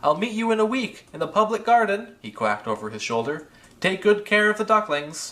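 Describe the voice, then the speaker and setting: Using a put-on character voice, a man speaks in a high pitch. His pace is fairly quick. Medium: read story.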